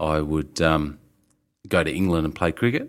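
A man speaks in a very deep, low voice with an Australian accent. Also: very clean recording, silent background. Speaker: winemaker. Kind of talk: interview. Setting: in person, Melbourne.

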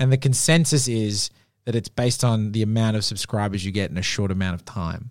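Speaking fairly quickly with an Australian accent, a man uses a fairly low pitch with ordinary pitch variation. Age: 30s. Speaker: podcast producer and writer. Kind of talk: casual interview chat. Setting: studio.

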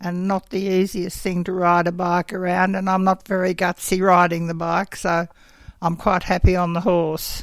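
In an Australian accent, a woman talks at a moderate pace. Her medium-pitched voice keeps a monotone, flat intonation. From southern New South Wales, Australia. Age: 80s+. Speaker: sheep farmer. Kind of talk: interview.

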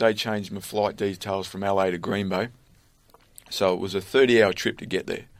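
A man with an Australian accent speaks in a fairly low voice with monotone, flat intonation. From Australia, country Victoria near Bendigo. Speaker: former pro footballer and kicking coach. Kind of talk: interview. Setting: studio.

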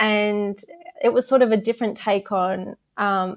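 In a very clean recording with a silent background, a woman speaks. She has an Australian accent and keeps a moderate pace. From Adelaide, South Australia. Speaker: sports social media manager. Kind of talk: interview. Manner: hesitant, many fillers.

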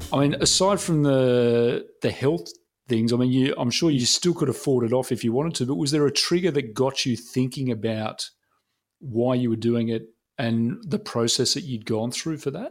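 In a very clean recording with a silent background, a speaker with an Australian accent uses ordinary pitch variation. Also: man, medium pitch for a man, moderate pace. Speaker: podcast host. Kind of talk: casual interview chat.

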